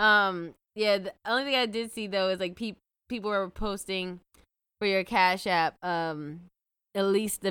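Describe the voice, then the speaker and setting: In a very clean recording with a silent background, a woman with an unremarkable speaking voice talks at a fairly quick pace with ordinary pitch variation. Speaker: podcast co-host. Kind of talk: casual chat.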